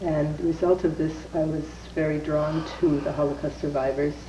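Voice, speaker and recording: A woman speaks at a moderate pace with a very deep, low pitch and monotone, flat intonation. Audible room echo and noticeable background noise fill the recording. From Canada, Winnipeg, Manitoba. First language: Yiddish. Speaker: wife of Holocaust survivor. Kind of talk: testimony.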